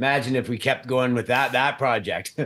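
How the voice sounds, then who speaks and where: A man talks in a plain, everyday voice at a moderate pace with a fairly high pitch. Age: 50s. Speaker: mining company CEO. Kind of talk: interview.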